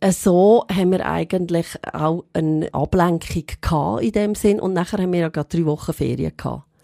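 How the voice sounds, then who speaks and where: A woman's fairly low, dark, mellow voice at a moderate pace with ordinary pitch variation. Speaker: goldsmith and shop owner. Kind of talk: personal testimony in interview.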